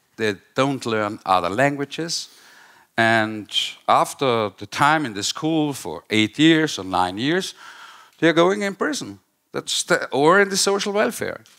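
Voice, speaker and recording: A man's fairly high, bright, sharp voice with very wide pitch swings and an Austrian accent, at a fairly slow pace in a very clean recording with a silent background. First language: German. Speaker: political commentator. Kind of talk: panel discussion. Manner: halting.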